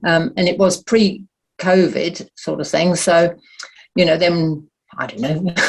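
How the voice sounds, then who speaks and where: This woman's voice is somewhat breathy and fairly low in pitch. She speaks fairly slowly with fairly even intonation. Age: 80s+. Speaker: audience member. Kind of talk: casual chat.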